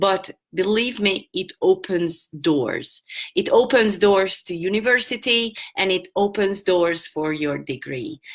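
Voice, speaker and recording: A woman with a Hungarian accent at a medium pitch, fairly slow in pace, with lively intonation. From Hungary. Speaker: English teacher. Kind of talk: online lesson. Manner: halting.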